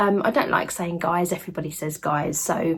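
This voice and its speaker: Speaking in an English accent at a moderate pace, the voice is somewhat breathy with lively intonation. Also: woman. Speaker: lifestyle vlogger. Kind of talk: casual vlog chat. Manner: chatty, hesitant fillers.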